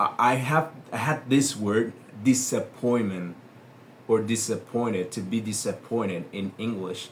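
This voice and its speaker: A man speaks at a medium pitch with a Spanish accent. His pace is very slow. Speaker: English teacher. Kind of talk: tutorial. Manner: hesitant, with many fillers.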